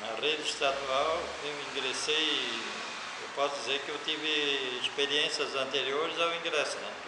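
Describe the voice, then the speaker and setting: Loud background noise under a man's fairly slow speech. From Santa Catarina, Brazil (Brusque). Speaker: retired teacher. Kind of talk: oral history interview. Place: classroom. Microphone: camera far.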